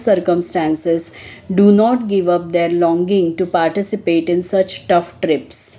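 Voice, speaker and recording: Someone talks at a moderate pace against noticeable background noise. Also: woman. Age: 60s. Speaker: pilgrim traveler. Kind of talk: reflective travel talk.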